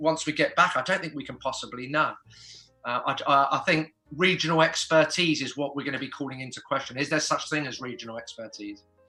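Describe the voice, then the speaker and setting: A man with a fairly high pitch talks over music in the background. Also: ordinary pitch variation, fairly quick pace, big swings in loudness. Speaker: property auctioneer. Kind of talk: casual guest interview answer, explanatory.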